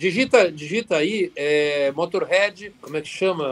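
A man's high voice rises and falls with lively intonation. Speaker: rock guitarist. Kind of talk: podcast interview.

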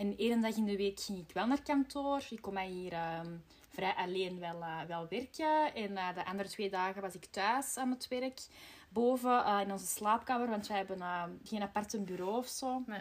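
A woman with a normal speaking voice, moderate pace and ordinary pitch variation. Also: medium pitch for a woman. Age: 30s. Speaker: podcast host, marketing employee. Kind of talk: casual chat.

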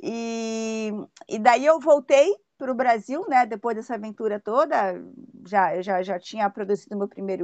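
Her sound dry and close with no echo, a woman speaks at a moderate pace with lively intonation. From Brazil, São Paulo. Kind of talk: interview.

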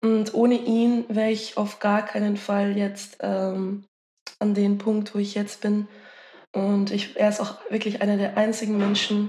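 The speaker is a woman. Her voice falls at a medium pitch. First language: Dutch (one of several native languages) (speaking German). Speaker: musician. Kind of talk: casual interview chat. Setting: video call from home.

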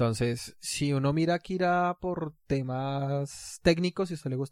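A man speaks in an ordinary speaking voice, fairly high in pitch, with ordinary pitch variation. The sound is dry and close with no echo, the recording very clean and the background silent. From Latin America. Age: 30s. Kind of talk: casual chat.

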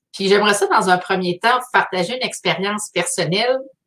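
Speaking with a Quebec accent, a woman uses a fairly high pitch at a moderate pace. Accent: Québécois French. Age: 40s. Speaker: artist hosting a weekly live. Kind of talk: live stream monologue. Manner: halting.

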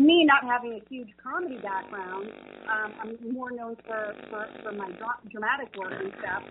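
Over noticeable background noise, a woman with an American accent speaks in a fairly high voice with big swings in loudness. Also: ordinary pitch variation, moderate pace. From New Jersey. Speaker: actress. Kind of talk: casual interview. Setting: phone call.

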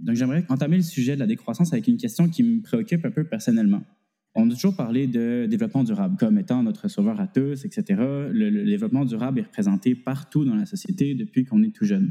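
A man speaks at a very fast pace, his pitch fairly high for a man. His tone is dark and mellow, with very wide pitch swings. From Quebec. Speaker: student podcast host. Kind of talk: scripted narration.

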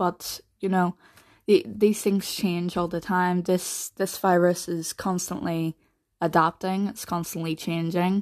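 On a very clean recording with a silent background, a woman with a Northern Irish accent and a fairly low pitch speaks at a fairly slow pace with fairly even intonation. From Northern Ireland. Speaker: podcaster, mental health advocate. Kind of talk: casual solo podcast monologue. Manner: hesitant, many fillers and repetitions.

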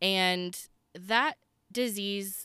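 A woman speaks loudly with lively intonation and a bright, sharp tone on a very clean recording with a silent background. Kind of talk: faith podcast monologue. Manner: animated.

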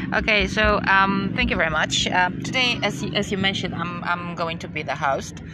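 Speaking with a Polish accent at a moderate pace and with ordinary pitch variation, the voice comes through over noticeable background noise. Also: woman. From Poland. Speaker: podcast co-host. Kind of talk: casual Q&A interview. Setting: outdoors by a river. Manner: halting, many fillers.

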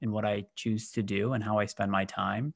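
In a very clean recording with a silent background, a man talks with an American accent. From US Midwest, Michigan. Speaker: business executive. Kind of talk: interview.

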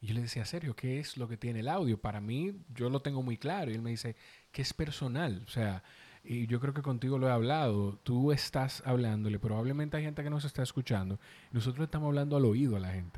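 A man's medium-pitched, dark, mellow voice at a fairly quick pace, with a slight Dominican accent. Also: ordinary pitch variation. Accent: Dominican Spanish, mild. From Dominican Republic. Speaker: podcast producer and host. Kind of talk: casual chat. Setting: recording in person, on video.

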